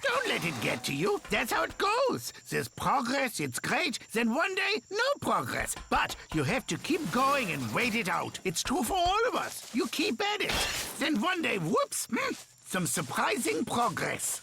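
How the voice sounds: A cartoonish character voice with a fairly high pitch at a moderate pace, over clear background noise.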